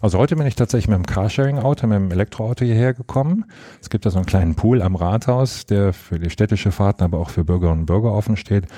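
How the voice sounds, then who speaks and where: A man talks at a very fast pace with very even loudness and ordinary pitch variation, recorded with a dry, close sound and no echo. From Rhineland, Germany (Monheim am Rhein). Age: 30s. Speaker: mayor. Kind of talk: interview.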